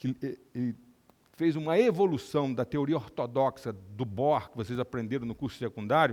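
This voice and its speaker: The man has an unremarkable speaking voice pitched in the mid range. Its pitch moves in an ordinary way. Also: moderate pace. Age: 60s. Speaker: neurosurgeon and lecturer. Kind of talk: lecture.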